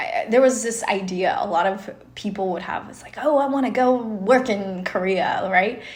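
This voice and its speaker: With hardly any pauses, a woman speaks at a fairly high pitch with lively intonation, amid audible room echo and noticeable background noise. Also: moderate pace, big swings in loudness. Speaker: podcast co-host. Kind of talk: casual chat.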